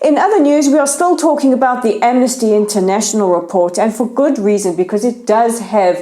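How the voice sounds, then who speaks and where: Over noticeable background noise, a woman with a South African accent talks at a fairly quick pace with hardly any pauses, her pitch fairly high, her intonation lively and her loudness very even. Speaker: news show host. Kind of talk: news commentary.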